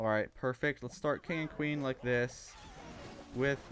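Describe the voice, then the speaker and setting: The man's voice holds a medium pitch while his speech moves at a moderate pace. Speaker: video game streamer. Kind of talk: live gameplay commentary. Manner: subdued, sounds sad.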